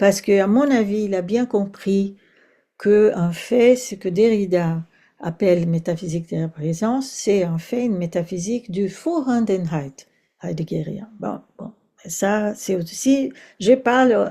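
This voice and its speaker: In a Brazilian accent, a woman with a medium pitch and a dark, mellow, somewhat breathy tone speaks at a fairly slow pace with ordinary pitch variation. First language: Portuguese (speaking French). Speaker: philosophy professor. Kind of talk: academic lecture. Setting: seminar, in person and online. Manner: hesitant, with fillers and repetitions.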